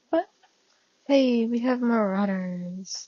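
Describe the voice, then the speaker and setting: Somewhat breathy and soft-spoken, at a very slow pace with ordinary pitch variation. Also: woman. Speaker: fanfiction audiobook reader. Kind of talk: reading aloud; casual chat.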